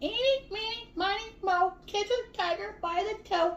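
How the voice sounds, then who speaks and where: An extremely high, squeaky, female-sounding put-on character voice. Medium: read story.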